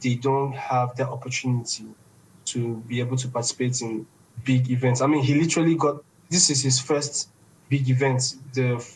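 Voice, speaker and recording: Somewhat breathy and delivered at a moderate pace, the voice carries a Nigerian accent and monotone, flat intonation. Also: man. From Nigeria, Igbo east. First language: Igbo. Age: 20s. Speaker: esports organization founder. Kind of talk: podcast interview.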